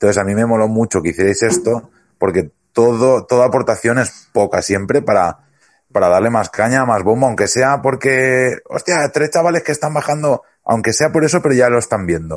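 Over a quiet background, a man with a medium pitch speaks at a moderate pace with lively intonation and very even loudness. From Huesca, Aragon, Spain. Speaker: podcast host. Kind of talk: casual chat. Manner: animated.

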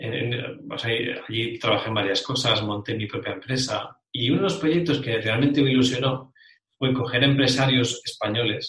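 Moderately paced, a man speaks in an unremarkable speaking voice. His pitch is medium, with ordinary variation. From Spain, Bilbao (Basque Country). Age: 40s. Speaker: referral marketing specialist. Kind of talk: interview.

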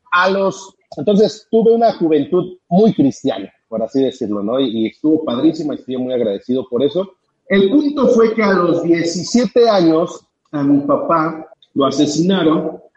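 High-pitched male voice at a fairly slow pace with very wide pitch swings. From Mexico. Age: 30s. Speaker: company founder and trainer. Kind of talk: interview on live stream.

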